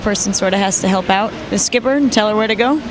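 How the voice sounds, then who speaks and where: A woman speaks at a medium pitch with an American accent. Audible room echo and noticeable background noise surround her voice. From US Midwest, Detroit, Michigan. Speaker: sailor. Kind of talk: interview.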